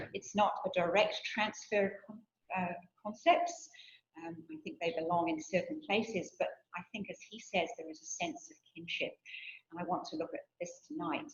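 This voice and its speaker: A soft-spoken woman talks at a moderate pace with a fairly high pitch and very wide pitch swings. Her voice is somewhat breathy. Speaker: theology researcher and guest lecturer. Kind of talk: lecture. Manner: reading from a script.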